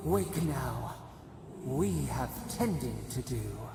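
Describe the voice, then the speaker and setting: A put-on character voice moves at a very slow pace through loud background noise and a clear echo. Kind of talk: poetic fantasy incantation. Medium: game stream. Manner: cryptic, poetic, speaks as a collective "we".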